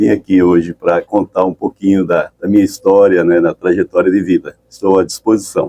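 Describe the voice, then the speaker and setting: A man with a very deep, low pitch and a dark, mellow tone speaks at a moderate pace in a monotone, flat intonation, with hardly any pauses and a dry, close sound with no echo. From Brazil, São Paulo and northern Paraná. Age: 60s. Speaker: entrepreneur and pioneer. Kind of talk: radio interview. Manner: halting, many repetitions.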